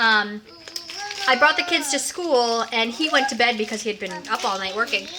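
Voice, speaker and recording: Ordinary pitch variation over noticeable background noise. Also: woman, fairly high pitch for a woman. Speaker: mom vlogger. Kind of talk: casual vlog storytelling. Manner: fast.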